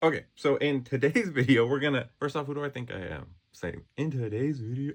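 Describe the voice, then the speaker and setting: Talking at a fairly quick pace, a man shows ordinary pitch variation and big swings in loudness. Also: fairly high pitch for a man. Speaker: self-help vlogger. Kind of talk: casual vlog monologue. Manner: fast; animated.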